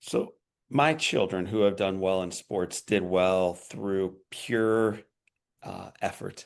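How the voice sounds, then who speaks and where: Very slowly, a man with a Midwestern US accent speaks in a very deep, low pitch. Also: ordinary pitch variation. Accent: US Midwest. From Missouri. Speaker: podcast host. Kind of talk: interview.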